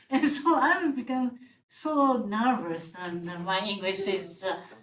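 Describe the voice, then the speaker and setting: Speaking at a very slow pace with a Japanese accent, a woman sounds somewhat breathy as her pitch swings very widely. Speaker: legal scholar, panelist. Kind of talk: panel discussion. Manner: halting, hesitant.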